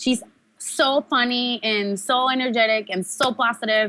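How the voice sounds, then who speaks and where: A woman speaks in a Mexican accent, her tone bright and sharp. She goes at a fairly slow pace, and the recording is very clean with a silent background. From Mexico, Tijuana. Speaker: professional wrestler. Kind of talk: interview.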